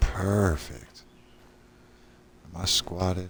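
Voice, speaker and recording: Intonation stays fairly even while the words come at a fairly slow pace. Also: man. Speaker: gaming streamer. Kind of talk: gameplay commentary. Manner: casual.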